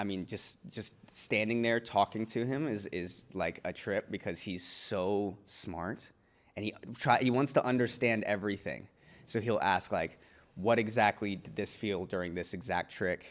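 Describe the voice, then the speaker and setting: On a very clean recording with a silent background, a man with an American accent uses a normal speaking voice at a moderate pace, his fairly low pitch showing ordinary variation. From US Midwest (Evansville, Indiana). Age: 20s. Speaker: skateboarder. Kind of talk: casual interview chat.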